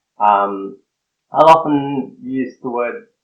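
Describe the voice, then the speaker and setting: This man talks with an Australian accent. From Australia, Snowy Mountains. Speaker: guest, blogger and seminary student. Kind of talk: podcast interview.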